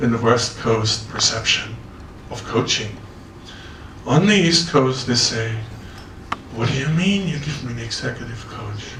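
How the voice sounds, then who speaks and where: A man talks at a fairly slow pace, and noticeable background noise runs underneath. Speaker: executive coach. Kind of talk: conference talk.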